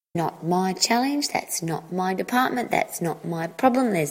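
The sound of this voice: Lively intonation in an unforced reading voice.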